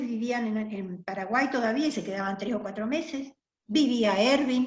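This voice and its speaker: A woman speaks at a moderate pace in a high pitch. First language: German (speaking Spanish). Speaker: interviewee, community member. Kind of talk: oral history interview.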